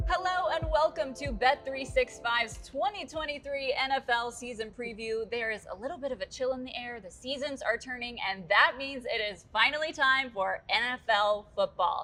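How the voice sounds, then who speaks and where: With music in the background, a woman speaks at a high pitch with lively intonation and hardly any pauses. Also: moderate pace. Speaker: sports broadcaster. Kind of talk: sideline reporting and sports hosting.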